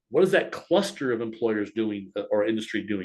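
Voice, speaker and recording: A man at a fairly quick pace, with very wide pitch swings and vocal fry. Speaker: workforce center business services supervisor. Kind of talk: webinar presentation. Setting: online webinar. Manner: fast.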